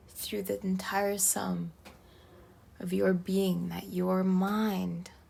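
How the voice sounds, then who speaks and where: Soft-spoken and at a very slow pace, a woman talks with long, frequent pauses. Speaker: tarot reader. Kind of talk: tarot reading.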